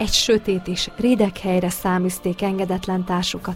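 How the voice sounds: With fairly even intonation, a natural reading voice carries the clip.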